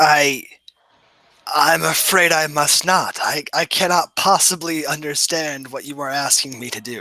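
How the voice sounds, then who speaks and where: A man in a put-on character voice at a fairly high pitch and a moderate pace. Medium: actual play. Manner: formal, courtly.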